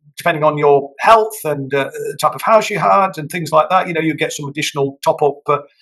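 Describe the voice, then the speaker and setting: Speaking with an English accent, a man uses lively intonation. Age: 60s. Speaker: politician. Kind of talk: interview. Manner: hesitant, many fillers.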